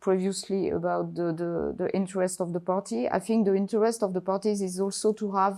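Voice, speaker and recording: Fairly even in intonation, a woman speaks at medium pitch in a dark, mellow tone. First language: not English. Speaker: judge at a patent court. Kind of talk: panel discussion. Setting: event with live and online audience. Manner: halting, many repetitions and fillers.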